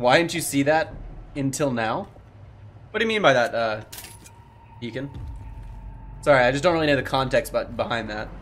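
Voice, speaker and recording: A man with a fairly high pitch and lively intonation talks at a fairly quick pace with long, frequent pauses over light background noise. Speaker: gaming streamer. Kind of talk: let's play commentary. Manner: casual, laughs often.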